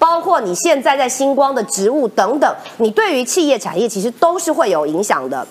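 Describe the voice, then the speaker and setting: Very wide pitch swings at a moderate pace. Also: woman. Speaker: legislator, former journalist. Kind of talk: talk show panel commentary.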